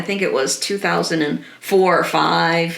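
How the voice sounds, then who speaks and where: A woman with a fairly low pitch speaks at a very slow pace, with audible room echo around her voice. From Trinidad and Tobago. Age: 60s. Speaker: nonprofit founder. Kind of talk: interview.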